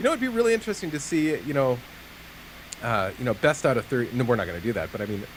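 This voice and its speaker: Over noticeable background noise, a man talks at a very fast pace. His pitch is medium, with very wide pitch swings. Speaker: gaming commentator. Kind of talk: live commentary. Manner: animated.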